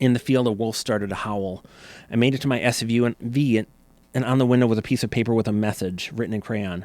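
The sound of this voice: The reading comes in an unforced reading voice.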